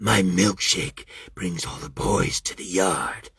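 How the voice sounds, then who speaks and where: A man's put-on character voice, raspy and very deep, at a fairly slow pace. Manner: sinister, playful.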